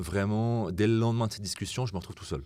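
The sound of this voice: The speaker is a man with a fairly low pitch. His tone is slightly mellow.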